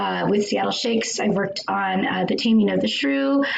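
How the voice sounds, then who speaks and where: Audible room echo hangs on a woman's voice. There is also noticeable noise behind her. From US, Mexican American. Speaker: actor and adapter. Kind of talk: panel discussion. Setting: live stream.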